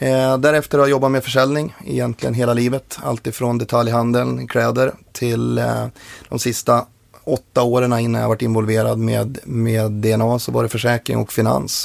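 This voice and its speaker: A man with an unremarkable speaking voice at a medium pitch speaks at a moderate pace with fairly even intonation. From Sweden, Njurunda near Sundsvall (Medelpad). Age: 20s. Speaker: company co-founder, DNA testing. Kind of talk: podcast interview.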